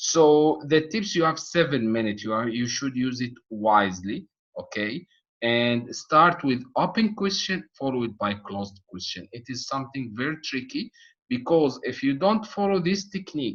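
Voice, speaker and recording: Moving through very wide pitch swings, a man with a non-native accent speaks at a moderate pace. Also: medium pitch for a man. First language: not English. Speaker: medical exam tutor. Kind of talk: online course lecture. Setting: online video session with chat. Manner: halting, many fillers and repetitions.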